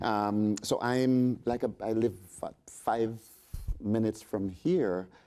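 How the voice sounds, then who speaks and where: With a dark, mellow tone, a man speaks at a medium pitch and a very slow pace. His pitch varies in an ordinary way. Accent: Jamaican. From Jamaica. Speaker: resort sales representative. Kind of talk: panel discussion.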